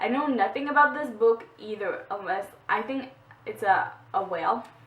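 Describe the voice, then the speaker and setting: Lively intonation carries a woman's speech, delivered in a French accent at a moderate pace. Long, frequent pauses break it up, with noticeable background noise behind. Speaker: book vlogger. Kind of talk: casual book haul vlog. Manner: halting, with fillers.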